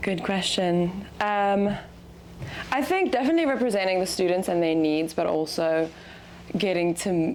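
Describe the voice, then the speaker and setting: The woman talks at a moderate speed. She has a South African accent. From South Africa, Cape Town. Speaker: student athlete. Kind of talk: casual interview.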